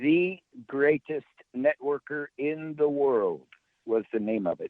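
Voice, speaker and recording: Lively in intonation, a man with a fairly high pitch speaks very slowly, leaving long, frequent pauses. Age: 70s. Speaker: author and network marketing speaker. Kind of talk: interview.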